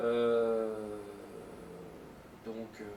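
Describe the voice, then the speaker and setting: Noticeable background noise and audible room echo come through as a man talks. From France, Lyon area. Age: 40s. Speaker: youth football coach. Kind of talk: interview answers. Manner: hesitant, many fillers and repetitions.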